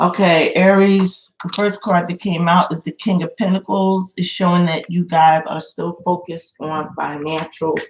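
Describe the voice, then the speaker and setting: A woman speaks at a moderate pace with hardly any pauses, her pitch fairly low. Her intonation is monotone and flat, and her voice is somewhat breathy. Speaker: tarot reader. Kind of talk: live tarot reading. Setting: livestream. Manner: shaky.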